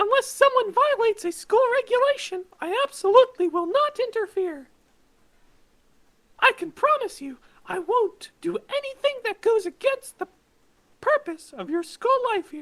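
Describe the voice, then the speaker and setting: This is a put-on character voice at an extremely high pitch. It sounds squeaky. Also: moderate pace. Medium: fan dub. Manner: taunting, gleeful, theatrical.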